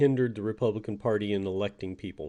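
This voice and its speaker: The voice has an American accent and a dark, mellow tone. Its intonation is fairly even over a quiet background. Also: man. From Texas. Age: 60s. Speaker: political commentator. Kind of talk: political monologue. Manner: halting, many fillers.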